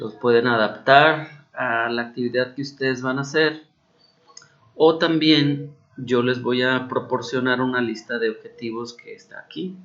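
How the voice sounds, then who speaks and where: A man speaks in a Mexican accent at a medium pitch. His pace is fairly slow and his intonation fairly even. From Mexico. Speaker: university teacher. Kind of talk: recorded instructional explanation. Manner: casual, hesitant with fillers.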